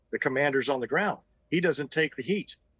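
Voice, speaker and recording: A plain, everyday voice with lively intonation, in a dry, close sound with no echo. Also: man. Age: 60s. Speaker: retired army officer and doctor. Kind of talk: interview.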